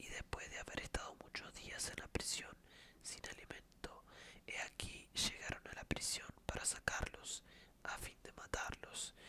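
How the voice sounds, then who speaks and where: A whisper at a fairly slow pace, with noticeable background noise behind it. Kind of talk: ASMR scripture reading. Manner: whispered.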